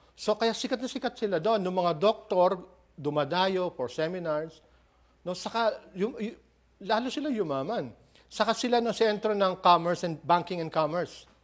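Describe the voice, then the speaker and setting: Speaking at a moderate pace, a man with a high voice uses lively intonation on a very clean recording with a silent background. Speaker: preacher. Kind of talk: expository sermon preaching.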